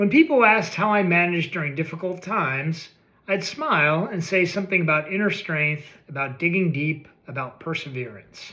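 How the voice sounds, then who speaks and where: Fairly quick in pace, a man speaks in a high pitch with ordinary pitch variation. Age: 60s. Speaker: essay writer reading own work. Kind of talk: reading aloud. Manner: reflective, measured.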